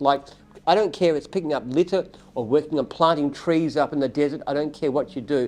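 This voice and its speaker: Over noticeable background noise, a man talks very fast at fairly high pitch with ordinary pitch variation. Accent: Australian. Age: 70s. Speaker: company founder and CEO. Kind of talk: live Q&A. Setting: livestream.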